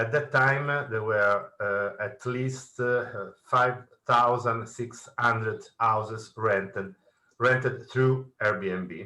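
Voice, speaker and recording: At a very slow pace, a man with a medium pitch and a bright, sharp tone keeps his intonation fairly even. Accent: Italian. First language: Italian. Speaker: journalist, panel moderator. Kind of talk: panel moderation. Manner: halting, many fillers.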